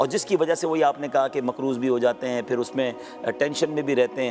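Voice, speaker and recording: A man is speaking, his pitch in the middle range. Background music can be heard. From Karachi, Pakistan. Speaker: Islamic scholar and preacher. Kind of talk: interview answer.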